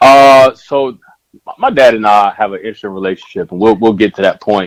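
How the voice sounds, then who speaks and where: With an American accent, a man talks in a normal speaking voice at a fairly quick pace and ordinary pitch variation, the sound dry and close with no echo. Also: medium pitch for a man. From mixed upbringing: South Carolina, Texas, Germany (military-style moves). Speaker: educator and author, podcast guest. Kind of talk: casual interview conversation.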